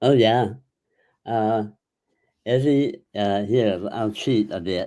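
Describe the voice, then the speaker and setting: In a very clean recording with a silent background, a man with an American accent speaks at a very slow pace, with a medium pitch, ordinary pitch variation and a dark, mellow tone. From US Midwest, Chicago. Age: 80s+. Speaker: retired actor and author. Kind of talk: interview. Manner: halting.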